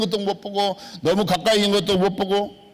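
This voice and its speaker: Speech at a moderate pace rings with audible room echo. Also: man. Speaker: pastor. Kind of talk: sermon. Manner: emphatic, repetitive.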